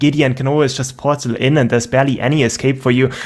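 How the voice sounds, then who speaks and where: Speaking at a medium pitch, a man talks with a German accent. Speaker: esports caster. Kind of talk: live commentary.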